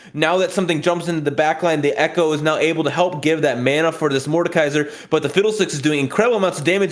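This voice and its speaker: Through noticeable background noise, a man with a high pitch talks at a very fast pace with ordinary pitch variation. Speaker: esports commentator. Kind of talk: live commentary.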